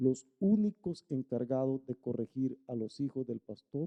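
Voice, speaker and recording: A man speaks at a medium pitch. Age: 60s. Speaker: pastor. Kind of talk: sermon.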